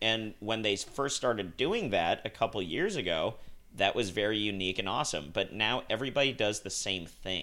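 The recording is very clean, with a silent background. A man with an American accent speaks fairly quickly in a bright, sharp tone at fairly low pitch. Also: ordinary pitch variation. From Utah, Salt Lake City. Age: 30s. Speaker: podcast co-host, bar server. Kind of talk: casual chat.

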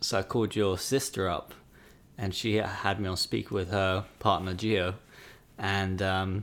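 Pitched fairly low, a man talks in a British accent. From UK. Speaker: podcast host's partner. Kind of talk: casual chat.

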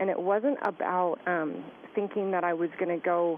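Using an ordinary speaking voice, a woman with a fairly low pitch speaks at a moderate pace with fairly even intonation. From Southern California. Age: 40s. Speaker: author and skincare entrepreneur. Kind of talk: radio interview. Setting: phone call.

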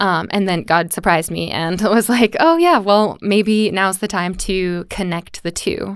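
A woman with an American accent speaks in an ordinary speaking voice at medium pitch with ordinary pitch variation. Her pace is fairly slow, with hardly any pauses. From USA. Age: 20s. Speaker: dance teacher. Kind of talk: casual interview.

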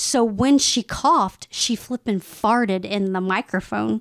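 A woman with a Texan accent, medium pitch and ordinary pitch variation, at a fairly slow pace in a dry, close sound with no echo. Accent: Texan American. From Texas. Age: 40s. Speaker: political commentator. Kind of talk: casual chat.

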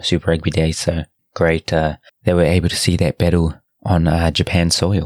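In a New Zealand accent, a man with a very deep, low voice speaks in a monotone, flat way, recorded very cleanly with a silent background and a dry, close sound with no echo. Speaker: rugby podcast host. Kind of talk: solo podcast monologue. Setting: at home late at night. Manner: hesitant, many filler words.

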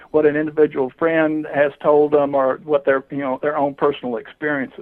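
In a Southern US accent, a man talks at a fairly high pitch with fairly even intonation. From US South, southwestern Georgia. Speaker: UFO investigator. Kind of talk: interview. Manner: halting, many fillers.

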